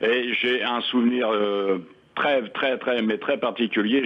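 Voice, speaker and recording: A fairly slow-paced man with fairly even intonation. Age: 60s. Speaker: retired caller. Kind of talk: radio call-in.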